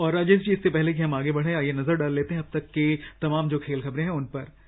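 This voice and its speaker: Using a normal speaking voice, a man talks with a fairly high pitch and fairly even intonation. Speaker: radio jockey, radio show host. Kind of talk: radio sports news show presentation. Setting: radio studio.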